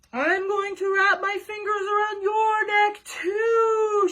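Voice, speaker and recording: A put-on character voice, pitched extremely high, delivered with a menacing tone at a fairly slow pace. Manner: spooky, howling, menacing.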